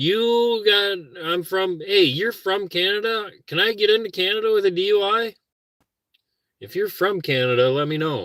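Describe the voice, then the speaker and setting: A man's high, bright, sharp voice in a Minnesotan accent, at a moderate pace with ordinary pitch variation. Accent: Minnesota. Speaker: vlogger, car camper. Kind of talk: casual livestream chat. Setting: car camping, morning. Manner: relaxed, rambling.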